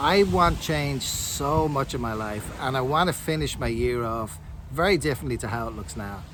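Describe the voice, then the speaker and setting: A man with a Dublin accent and ordinary pitch variation, over noticeable background noise. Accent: Irish (Dublin). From Dublin, Ireland. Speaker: online affiliate marketer. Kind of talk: motivational talk to camera. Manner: upbeat, encouraging.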